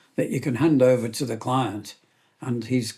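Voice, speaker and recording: Fairly even intonation and a somewhat breathy quality mark a man's speech. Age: 70s. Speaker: gunmaker. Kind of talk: casual chat.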